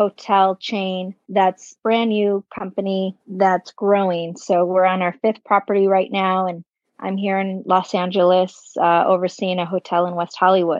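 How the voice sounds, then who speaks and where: A woman's medium-pitched voice with an American accent, monotone and flat in intonation, at a moderate pace. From northwest Indiana, US Midwest. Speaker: hotel sales and marketing director. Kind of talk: casual interview chat.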